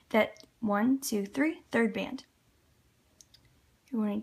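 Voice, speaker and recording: A woman speaks at a very slow pace. Her voice is fairly high and somewhat breathy. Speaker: loom bracelet tutorial maker. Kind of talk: tutorial. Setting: at home by a window.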